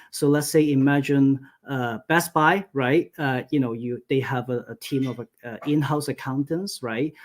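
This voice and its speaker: Speaking with a Cantonese accent at a fairly high pitch, a man keeps a fairly slow pace and fairly even intonation with hardly any pauses. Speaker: accountant. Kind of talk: webinar presentation. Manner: many filler words, halting.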